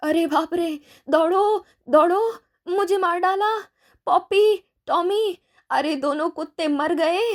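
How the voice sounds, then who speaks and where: The voice is a shrill, put-on character voice delivered at a fairly slow pace. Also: woman, extremely high pitch for a woman. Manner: panicked, shrieking.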